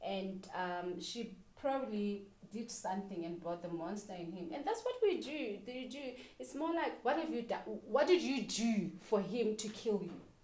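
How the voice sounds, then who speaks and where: Her tone animated, a woman with a fairly high pitch speaks at a moderate pace, with very wide pitch swings and big swings in loudness. Audible room echo and noticeable background noise fill the recording. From Lesotho. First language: Sesotho or other non-English language. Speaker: reality TV personality and wine brand owner. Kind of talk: interview.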